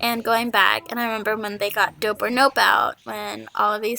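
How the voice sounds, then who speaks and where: A quiet woman's voice. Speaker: gaming YouTuber. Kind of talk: casual podcast-style monologue. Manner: quiet, holding voice down.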